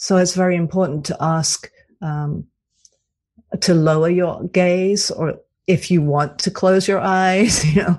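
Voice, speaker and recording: A woman with a British accent speaks at a fairly slow pace in a fairly low pitch, her intonation fairly even against a quiet background. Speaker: cantor, author and coach. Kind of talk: radio interview.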